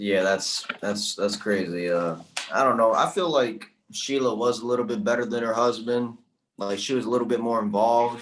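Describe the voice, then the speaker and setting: Using a normal speaking voice, a man talks at a medium pitch and moderate pace with ordinary pitch variation. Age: young. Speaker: guest co-host, sports fan. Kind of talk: casual chat.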